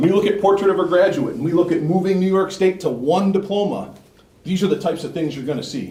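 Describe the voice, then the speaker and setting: The speech comes at a very fast pace. Audible room echo and noticeable background noise fill the recording. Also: man. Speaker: regional education services administrator. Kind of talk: board meeting presentation. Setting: school board meeting.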